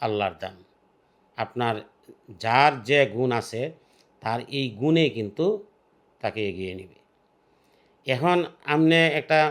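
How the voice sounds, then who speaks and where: With an ordinary speaking voice, a man at medium pitch uses lively intonation and big swings in loudness on a very clean recording with a silent background. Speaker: video content creator. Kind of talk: advice monologue to viewers. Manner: casual, colloquial.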